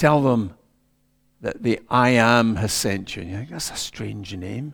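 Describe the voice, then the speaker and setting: A man talks at a very slow pace on a very clean recording with a silent background. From Scotland, Ayrshire. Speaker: preacher. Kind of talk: sermon.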